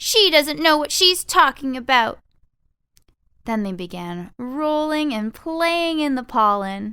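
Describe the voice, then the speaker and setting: A woman projects a raised, high voice with a bright, sharp tone and a warm, playful tone, speaking very slowly with very wide pitch swings and big swings in loudness in a very clean recording with a silent background. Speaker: voice over artist and narrator. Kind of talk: children's audiobook narration. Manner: warm storytelling, playful.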